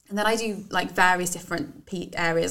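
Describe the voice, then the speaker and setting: A woman's fairly low voice, with vocal fry. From English Midlands. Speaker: business owner and university graduate. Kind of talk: casual interview chat.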